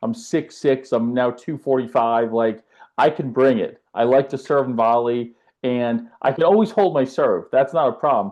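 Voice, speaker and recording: A man speaks at a moderate pace with an American accent, his pitch medium. It is a plain, everyday voice with ordinary pitch variation. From US South (west coast of Florida, Tampa Bay). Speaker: tennis coach. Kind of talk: podcast interview. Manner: casual, with filler words.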